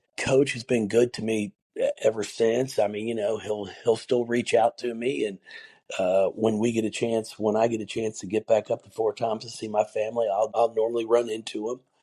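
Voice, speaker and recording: Speaking at a moderate pace, a man with a medium-pitched voice and a dark, mellow tone keeps his intonation fairly even, recorded dry and close with no echo. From Northern Kentucky. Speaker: college basketball coach. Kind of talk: interview. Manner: repetitive false starts.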